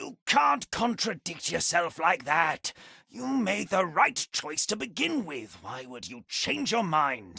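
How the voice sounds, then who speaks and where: A man uses a put-on character voice pitched high. He goes at a fairly slow pace with very wide pitch swings. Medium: video game. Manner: insinuating.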